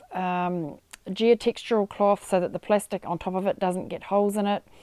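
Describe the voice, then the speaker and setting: A woman speaks at a fairly slow pace in a dark, mellow tone. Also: quiet background, dry sound with no echo. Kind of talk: tutorial. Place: garden.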